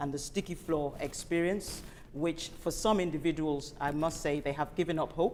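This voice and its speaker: A woman with an African accent speaks at a moderate pace in a very deep, low voice, her intonation fairly even. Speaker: invited speaker, healthcare professional. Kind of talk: panel presentation. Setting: event hall with audience and online stream. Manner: formal.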